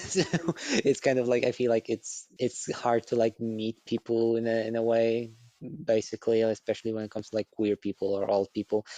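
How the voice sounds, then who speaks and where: Monotone, flat intonation and a dark, mellow tone come through in a dry, close sound with no echo. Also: man, medium pitch for a man, fairly quick pace. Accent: Polish. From Poland. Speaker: podcast guest. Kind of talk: casual chat. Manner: soft-spoken; crisp enunciation.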